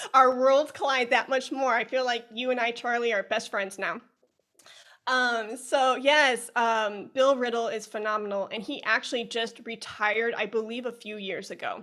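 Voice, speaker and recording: A woman with an American accent speaks at a moderate pace in a fairly high voice. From US Midwest, Chicago. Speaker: music educator, flutist. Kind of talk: podcast interview.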